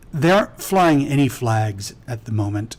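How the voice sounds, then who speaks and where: A man puts on a character voice, speaking at a moderate speed and medium pitch. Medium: actual play. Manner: formal, measured.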